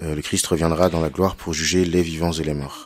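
Heard on a very clean recording with a silent background, a man speaks at a moderate pace with ordinary pitch variation. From western France, Cholet. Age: 30s. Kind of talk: radio interview on theology.

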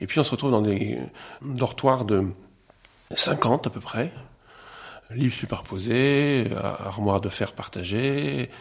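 A man with a medium pitch speaks very slowly with lively intonation and long, frequent pauses, over noticeable background noise. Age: 60s. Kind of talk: testimony.

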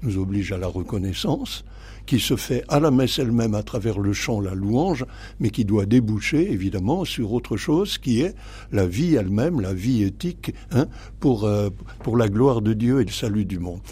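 With vocal fry and a dark, mellow tone, a man speaks at a moderate pace using lively intonation. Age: 80s+. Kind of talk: radio interview. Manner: halting, many repetitions and hesitations.

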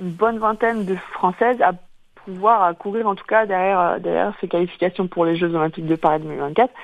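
Here a woman talks at a moderate pace with a medium pitch. She has a plain, everyday voice and fairly even intonation. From Brittany, Quimper (Finistère). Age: 30s. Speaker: elite fencer. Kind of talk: radio interview. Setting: phone call.

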